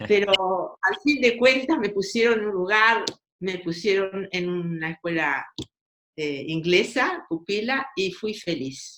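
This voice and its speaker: A woman's medium-pitched voice with lively intonation at a very slow pace. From Argentina, Buenos Aires. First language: Russian (speaking Spanish). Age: 80s+. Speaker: writer. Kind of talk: interview. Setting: podcast.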